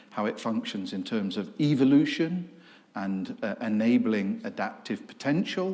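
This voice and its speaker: A man's fairly high voice in an English accent, dark and mellow in tone, with very wide pitch swings. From England. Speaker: professor. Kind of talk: lecture.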